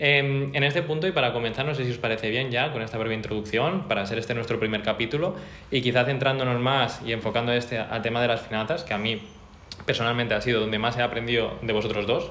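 A man talks at a very fast pace. Noticeable background noise and audible room echo fill the recording. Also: medium pitch for a man, ordinary pitch variation. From Mallorca, Spain. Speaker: podcast co-host. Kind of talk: casual chat.

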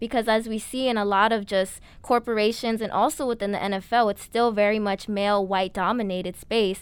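A woman with an American accent talks at a fairly high pitch, with hardly any pauses. The recording is very clean, with a silent background. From New York City (Bronx). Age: young. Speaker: student podcast co-host. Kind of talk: casual chat; interview.

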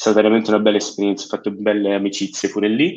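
Over a quiet background, the voice holds a monotone, flat intonation. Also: man. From Switzerland, Italian parents. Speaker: finance student. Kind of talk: interview. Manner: halting, many fillers and repeats.

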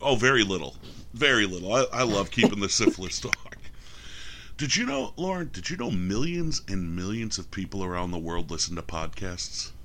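Speaking with an American accent, a man with a fairly low voice and a bright, sharp tone makes very wide pitch swings. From New York. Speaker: podcast co-host. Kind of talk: casual chat.

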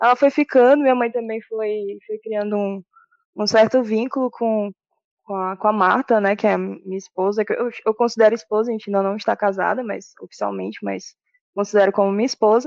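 A woman's plain, everyday voice, fairly high-pitched, with fairly even intonation and a fairly quick pace. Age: 30s. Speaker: administrator and aspiring DJ. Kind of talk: casual interview.

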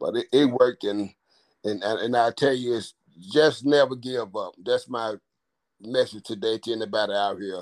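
A man speaks at a moderate pace and medium pitch with ordinary pitch variation, the sound dry and close with no echo. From Memphis, Tennessee. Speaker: navy veteran. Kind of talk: interview.

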